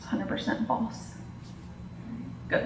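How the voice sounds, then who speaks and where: A woman's voice carries audible room echo. Noticeable background noise is present too. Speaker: nursing professor. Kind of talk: lecture. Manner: fast.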